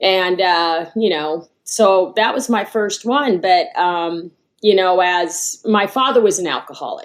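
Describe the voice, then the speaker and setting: Very slow speech with hardly any pauses and ordinary pitch variation. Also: woman, medium pitch for a woman. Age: 60s. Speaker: guest sharing recovery story. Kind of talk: interview testimony. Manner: halting.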